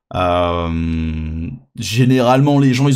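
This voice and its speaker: A man's voice with ordinary pitch variation carries audible room echo. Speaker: VTuber streamer. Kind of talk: casual reaction stream commentary. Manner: hesitant, many repetitions and fillers.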